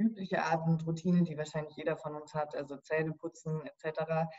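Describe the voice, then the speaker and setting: Her intonation fairly even, a woman with a normal speaking voice talks moderately fast at a fairly low pitch. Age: 30s. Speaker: sleep scientist. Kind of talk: interview.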